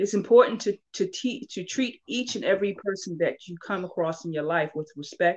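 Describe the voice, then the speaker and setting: A woman's medium-pitched, unremarkable speaking voice in an American accent, fairly quick, with ordinary pitch variation and a quiet background. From Baltimore, Maryland. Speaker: podcast host. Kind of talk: casual chat.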